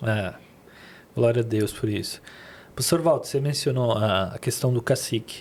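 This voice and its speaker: This man's somewhat breathy voice sits at a medium pitch, moving at a moderate pace with ordinary pitch variation and long, frequent pauses. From Lebanon. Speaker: podcast host. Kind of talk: interview.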